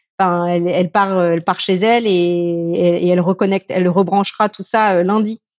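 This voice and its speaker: A woman speaks at a medium pitch. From France. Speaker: entrepreneur, former business lawyer. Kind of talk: interview. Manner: animated, hesitant.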